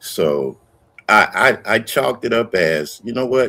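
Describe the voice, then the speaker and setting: This man's voice sits at a medium pitch, with very wide pitch swings and vocal fry. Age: 70s. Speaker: YouTube commentator. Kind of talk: casual chat.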